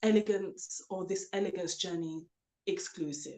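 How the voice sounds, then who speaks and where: A woman is the one talking. Her accent is British. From UK. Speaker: author and elegance coach. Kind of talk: interview.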